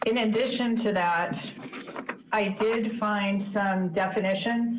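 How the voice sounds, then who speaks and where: A woman speaks with fairly even intonation. Noticeable background noise is heard. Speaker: staff member reporting to board. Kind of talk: meeting report. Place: office. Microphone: video call.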